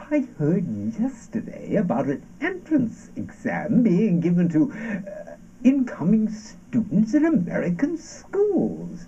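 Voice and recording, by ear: A man does a put-on character voice, high in pitch with very wide swings and a dark, mellow tone. He talks at a slow pace.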